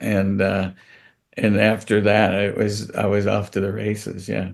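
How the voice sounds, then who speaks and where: In an American accent, a man talks at a fairly slow pace with vocal fry. His voice is fairly low and his intonation monotone and flat. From United States. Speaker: comedian, actor and director. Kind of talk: interview answer.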